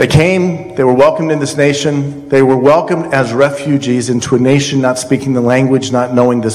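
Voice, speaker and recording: With an American accent, a man talks at a fairly quick pace and medium pitch, his intonation fairly even, amid noticeable background noise and audible room echo. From Colorado. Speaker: congressional candidate, former congressman. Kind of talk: candidate forum. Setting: college hall with audience.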